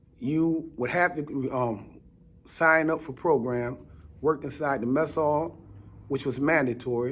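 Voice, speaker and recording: A man talks in an ordinary speaking voice with fairly high pitch. His intonation stays fairly even. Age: 60s. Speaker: former prisoner. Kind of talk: interview. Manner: terse, short answers.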